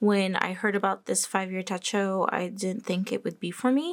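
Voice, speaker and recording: An unremarkable speaking voice belongs to a woman of medium pitch, moving at a moderate pace. The recording is very clean, the background silent. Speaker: planner and journaling youtuber. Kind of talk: casual show-and-tell vlog.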